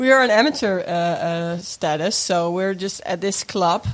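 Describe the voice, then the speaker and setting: Very slow speech from a woman, noticeable background noise behind her. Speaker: podcaster and former women's football player. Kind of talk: casual chat.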